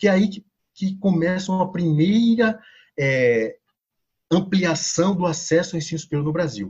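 Speaking at a moderate pace and a high pitch, a man shows ordinary pitch variation and leaves long, frequent pauses. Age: 40s. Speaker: sociology professor. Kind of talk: podcast interview.

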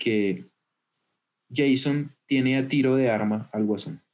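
A man speaks at a medium pitch with ordinary pitch variation. His pace is very slow. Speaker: podcast host. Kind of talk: casual chat. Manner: animated.

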